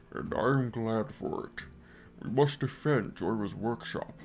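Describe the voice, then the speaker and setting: A man puts on a character voice at a medium pitch. He keeps a moderate pace against clear background noise. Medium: read story. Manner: formal, measured.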